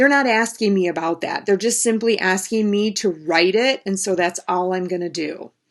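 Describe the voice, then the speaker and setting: In a normal speaking voice, a woman talks at a medium pitch, her pitch variation ordinary. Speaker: math teacher. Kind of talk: lecture. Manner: casual.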